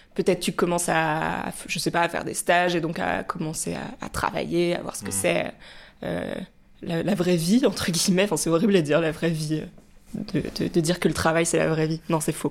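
In a very clean recording with a silent background, a woman with a fairly low pitch and vocal fry talks at a moderate pace. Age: 20s. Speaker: theatre writer. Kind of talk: casual chat. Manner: halting.

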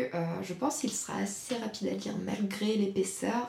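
A woman speaks at a medium pitch. Noticeable background noise and audible room echo are present. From northern France, raised near Nantes. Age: 30s. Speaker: journalist. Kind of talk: casual interview chat. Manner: halting, many hesitations.

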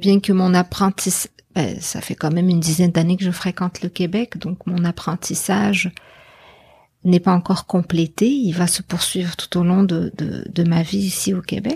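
Somewhat breathy and dark, mellow in tone, a woman speaks at a moderate pace and fairly low pitch with fairly even intonation, the sound dry and close with no echo. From Morocco, Casablanca. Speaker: journalist. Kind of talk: interview conversation. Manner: halting, frequent repetitions.

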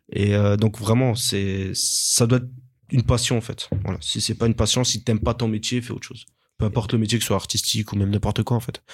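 On a very clean recording with a silent background, a man speaks fairly quickly at a medium pitch, somewhat breathy and with monotone, flat intonation. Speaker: beatmaker and music producer. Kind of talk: casual chat.

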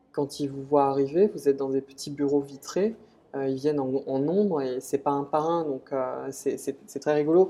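Speaking at a fairly slow pace, a man with a fairly high pitch and a dark, mellow tone keeps his intonation fairly even. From western France, Nantes. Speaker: gemologist. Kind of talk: interview. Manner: halting.

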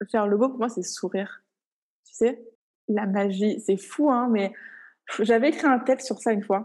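Pausing long and often, a woman speaks at a moderate pace in a fairly high pitch, with ordinary pitch variation and big swings in loudness. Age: 20s. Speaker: founder of a motherhood support group platform. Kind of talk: casual chat.

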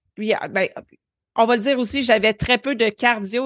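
A woman with a Quebec accent speaks at a fairly high pitch and moderate pace with fairly even intonation, in a dry, close sound with no echo against a quiet background. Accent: Québécois French. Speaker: family physician and podcast co-host. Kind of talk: casual chat.

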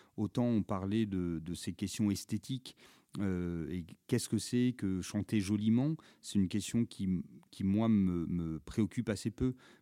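A man with a fairly low, dark, mellow voice speaks at a fairly slow pace with ordinary pitch variation, dry and close with no echo in a very clean recording with a silent background. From Auvergne, France. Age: 50s. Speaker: traditional music singer. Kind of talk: interview. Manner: halting.

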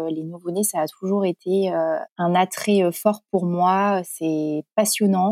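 A woman with a medium pitch and a dark, mellow tone speaks in a monotone, flat intonation at a very slow pace, her dry, close sound having no echo in a very clean recording with a silent background. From France, Corrèze. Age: 30s. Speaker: blogger and content creator, former nurse. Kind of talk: casual interview. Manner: hesitant, many fillers.

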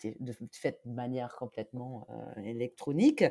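A woman's dark, mellow tone at a very deep, low pitch, with ordinary pitch variation, in a very clean recording with a silent background. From Germany. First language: German (speaking French). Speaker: neuropsychologist. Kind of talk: interview. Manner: hesitant, many fillers.

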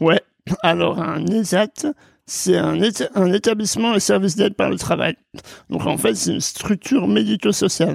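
The recording is very clean with a silent background. In it, a man talks at a moderate pace. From Jura, eastern France. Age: 20s. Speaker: startup co-founder. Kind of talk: interview.

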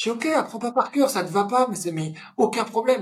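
High-pitched for a man, this speaker uses lively intonation at a moderate pace. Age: 50s. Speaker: public speaking coach and trainer. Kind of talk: casual interview.

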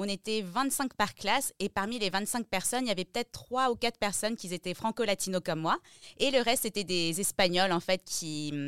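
A woman talks in a normal speaking voice at medium pitch and a moderate pace, with ordinary pitch variation. The very clean recording has a silent background and a dry, close sound with no echo. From France, Strasbourg. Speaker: music journalist and press attaché. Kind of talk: interview.

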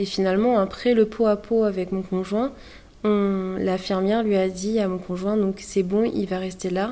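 This woman's tone is dark and mellow. She delivers her words with monotone, flat intonation. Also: medium pitch for a woman, fairly slow pace. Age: 20s. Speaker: mother sharing postpartum depression story. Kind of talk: testimony. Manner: halting.

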